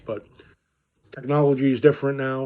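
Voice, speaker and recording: A man talks with a Brooklyn accent. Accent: Brooklyn New York. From New York (Brooklyn). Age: 50s. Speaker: car dealer. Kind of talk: casual vlog talk. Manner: conversational with many fillers.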